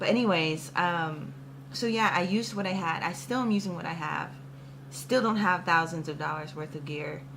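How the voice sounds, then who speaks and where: Amid audible room echo and noticeable background noise, a woman with a fairly low pitch speaks in an animated tone at a moderate pace, her intonation lively. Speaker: musician vlogger. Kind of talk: motivational vlog talk.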